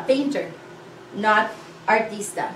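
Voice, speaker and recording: In a room with audible echo and light background noise, a woman with a Filipino accent speaks at a fairly high pitch with ordinary pitch variation. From Philippines. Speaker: language teacher. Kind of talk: lesson tutorial. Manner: slow, clear. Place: classroom. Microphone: camera far.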